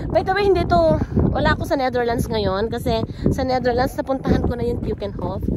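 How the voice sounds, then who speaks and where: A woman's high voice at a fairly quick pace, swinging very widely in pitch, over noticeable background noise. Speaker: travel vlogger. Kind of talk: casual vlog. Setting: outdoors in tulip field. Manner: animated.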